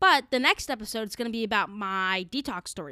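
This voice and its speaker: A woman's raised, projected voice, bright and sharp in tone, dry and close with no echo, in a very clean recording with a silent background. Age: 20s. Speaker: podcast host. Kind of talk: casual monologue. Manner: halting.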